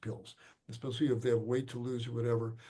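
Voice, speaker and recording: Amid audible room echo, a man with an American accent speaks at a medium pitch in a somewhat breathy, dark, mellow tone. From Chicago, US Midwest. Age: 70s. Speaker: physician. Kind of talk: lecture Q&A. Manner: halting.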